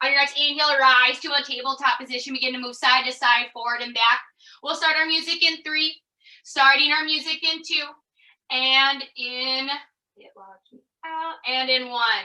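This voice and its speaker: A woman's raised, projected voice, high in pitch with a bright, sharp tone, fairly even intonation, big swings in loudness and a moderate pace. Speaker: yoga instructor. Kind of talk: guided fitness class.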